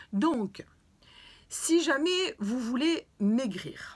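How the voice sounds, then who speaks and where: The high voice belongs to a woman. Her pitch swings very widely. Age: 60s. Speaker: fitness and weight-loss vlogger. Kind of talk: video talk, advice to viewers. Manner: hesitant with fillers.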